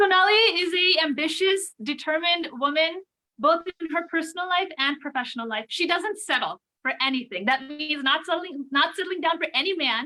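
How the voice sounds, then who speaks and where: A woman with a New Jersey accent projects a raised voice at an extremely high pitch, her tone bright and sharp, moving at a fairly quick pace with ordinary pitch variation. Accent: American, New Jersey. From New Jersey, US. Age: 30s. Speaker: real estate agent. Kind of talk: interview.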